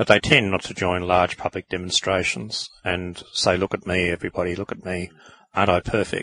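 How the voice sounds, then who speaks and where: A man's very deep, low voice with an Australian accent, bright, sharp tone, fairly quick pace and fairly even intonation, in a dry, close sound with no echo. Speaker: podcast co-host, author. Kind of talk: casual chat.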